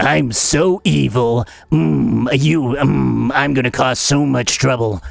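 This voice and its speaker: A raspy, put-on character voice moves at a fairly slow pace with very wide pitch swings. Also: man, medium pitch for a man. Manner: goofy, exaggerated evil.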